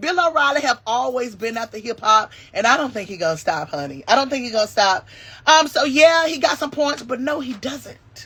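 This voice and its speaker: A woman with a high pitch uses a raised, projected voice at a moderate pace, her tone bright, sharp and animated and her intonation lively, in a very clean recording with a silent background. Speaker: YouTube commentary host. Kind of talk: casual live-stream commentary. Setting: live stream. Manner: animated, many fillers.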